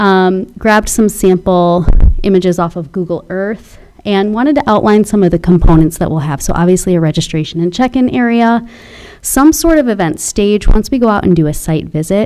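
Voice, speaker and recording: Fairly quick speech with lively intonation and noticeable background noise. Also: woman, medium pitch for a woman. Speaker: nonprofit foundation volunteer presenting to a board. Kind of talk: presentation at a public meeting. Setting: town board meeting. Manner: fast.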